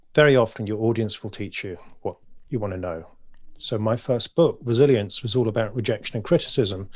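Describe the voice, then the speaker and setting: In a British accent, a man talks at a fairly quick pace and medium pitch with ordinary pitch variation, on a very clean recording with a silent background. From Britain. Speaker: poet and author. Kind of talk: interview conversation. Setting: podcast recording.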